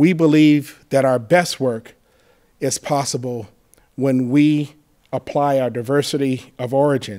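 A man with a dark, mellow tone speaks at a fairly slow pace and fairly even intonation over a quiet background. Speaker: university president giving remarks. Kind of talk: formal welcome remarks. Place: hall. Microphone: podium.

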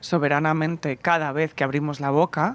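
At a moderate pace with fairly even intonation, the voice comes through dry with no echo. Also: woman. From Barcelona, Spain; Spain. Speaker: podcast host and festival presenter; podcast host interviewed. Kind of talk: casual interview chat. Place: garden. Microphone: handheld.

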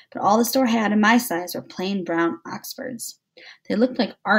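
Reading aloud in a natural voice, the speaker comes through against a quiet background.

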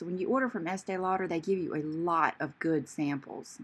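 A woman's fairly low voice at a moderate pace, with ordinary pitch variation. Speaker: beauty vlogger. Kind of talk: casual makeup tutorial chat. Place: bathroom. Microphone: phone near.

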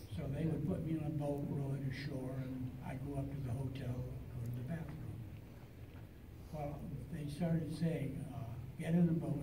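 Amid noticeable background noise, a man talks at a moderate pace and a fairly high pitch, keeping his intonation fairly even. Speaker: film actor and underwater stunt performer. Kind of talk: convention panel interview answer. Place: hall.

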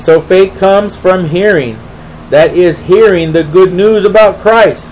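A man's high voice with ordinary pitch variation, over light background noise. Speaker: preacher. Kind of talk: Bible study teaching with prayer, sermon-style. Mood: earnest, devotional. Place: home room. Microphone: webcam.

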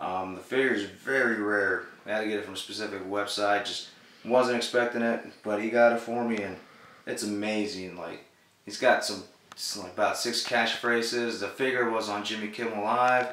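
A man with an American accent speaks at a moderate pace in a fairly low, bright and sharp voice with flat, monotone intonation, and the room echo is audible. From Texas, Dallas. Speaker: toy figure collector. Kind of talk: casual show-and-tell video. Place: home room.

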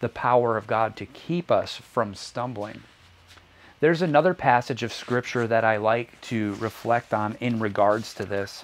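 A man talks at a moderate pace with a warm tone and ordinary pitch variation. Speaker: preacher. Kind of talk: sermon. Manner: earnest, warm, reflective preaching cadence. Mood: calm, earnest. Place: home room. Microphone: lapel.

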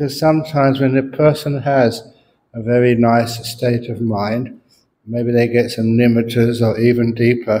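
Over light background noise, a man with a dark, mellow tone speaks at a moderate pace. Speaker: monk teacher. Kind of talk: dharma talk storytelling. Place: hall. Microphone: handheld.

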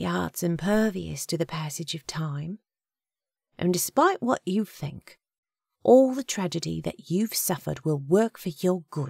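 A woman does a put-on character voice at a fairly slow pace, fairly low in pitch, with lively intonation, a slightly husky edge, a slightly mellow tone, vocal fry, and a dry, close sound with no echo. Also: very clean recording, silent background.

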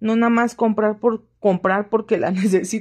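A normal speaking voice moves at a moderate pace over a quiet background. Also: woman. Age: 30s. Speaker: home vlogger. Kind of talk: casual vlog chat. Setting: at home. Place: home room. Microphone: phone near.

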